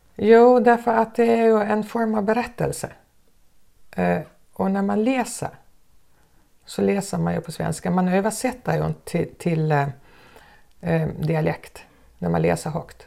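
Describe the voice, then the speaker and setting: A woman's fairly slow speech, broken by long, frequent pauses. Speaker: former teacher. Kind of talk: interview.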